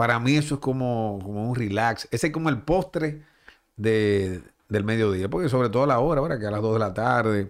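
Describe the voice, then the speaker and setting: On a very clean recording with a silent background, a man talks in an unremarkable speaking voice. His pitch is medium and his pace moderate. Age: 40s. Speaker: baseball broadcaster. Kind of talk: casual interview.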